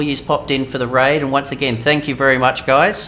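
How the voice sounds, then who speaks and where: At a fairly quick pace, a man talks as noticeable background noise fills in behind. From Australia. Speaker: gaming streamer. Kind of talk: live stream chat. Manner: hesitant, many fillers.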